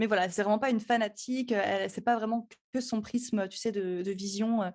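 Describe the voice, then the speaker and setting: The recording is very clean, with a silent background. A woman speaks at a fairly quick pace, her pitch fairly high and her intonation fairly even. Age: 20s. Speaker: astrologer and podcast producer. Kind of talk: podcast interview. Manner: hesitant, many fillers.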